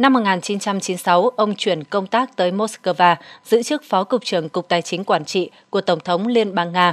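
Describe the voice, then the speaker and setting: Taking a fairly slow pace with hardly any pauses, a woman speaks in a plain, everyday voice at medium pitch, the sound dry and close with no echo. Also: ordinary pitch variation. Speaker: news narrator. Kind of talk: news reading.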